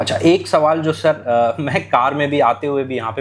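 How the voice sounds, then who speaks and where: Music plays in the background as a man talks at a moderate pace. His pitch is medium, with ordinary pitch variation. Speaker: interviewer. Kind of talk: interview questions.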